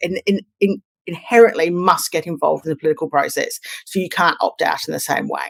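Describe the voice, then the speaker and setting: In an Australian accent, a woman speaks very fast, with a dry, close sound and no echo. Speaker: communications consultant. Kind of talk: podcast interview.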